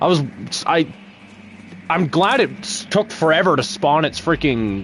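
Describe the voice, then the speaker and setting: The man's intonation is lively. Noticeable background noise can be heard behind him. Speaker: gaming streamer. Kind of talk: live gameplay commentary. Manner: animated; soft-spoken.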